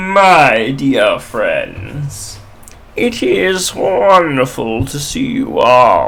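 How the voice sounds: In a put-on character voice, the speaker talks at a middle pitch and a very slow pace.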